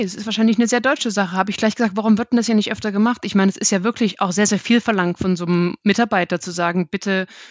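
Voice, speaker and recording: A woman's fairly high voice at a very fast pace, hardly any pauses, over a quiet background. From Germany, Dresden (Saxony). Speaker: market research analyst. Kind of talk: interview conversation. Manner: mumbles a bit.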